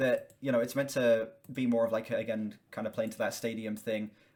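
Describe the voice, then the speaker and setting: The speaker is a man whose pitch swings very widely. He talks fairly quickly. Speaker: music reaction youtuber. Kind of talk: casual commentary. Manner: stuttering.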